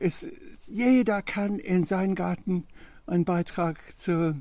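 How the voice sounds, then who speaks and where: The speech moves at a very slow pace with long, frequent pauses, a dark, mellow tone and ordinary pitch variation. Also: man. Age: 80s+. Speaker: permaculture gardener demonstrating his compost toilet. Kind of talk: casual explanatory interview on garden tour. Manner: halting, many fillers.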